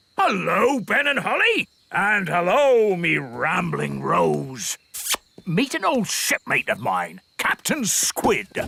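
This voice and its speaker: A cartoonish character voice drawls along at a very slow pace. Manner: hearty, blustering.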